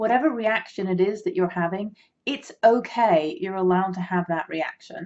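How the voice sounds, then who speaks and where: This is a woman speaking. She has an English accent. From England. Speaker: minister and grief recovery specialist. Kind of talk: talk to camera. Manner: casual, hesitant with fillers.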